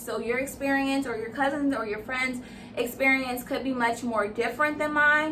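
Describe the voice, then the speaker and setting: A woman projects her high voice, raised, at a fairly quick pace with ordinary pitch variation. Audible room echo and noticeable background noise surround her. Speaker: beauty and lifestyle vlogger. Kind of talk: Q&A vlog.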